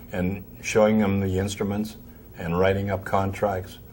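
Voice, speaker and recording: In an American accent, a man speaks in a fairly low pitch with audible room echo. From Pennsylvania, north of Pittsburgh. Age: 80s+. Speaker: music store owner. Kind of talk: interview. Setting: trade convention.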